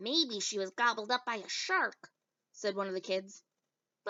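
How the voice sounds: A natural reading voice, with ordinary pitch variation, comes through over a quiet background.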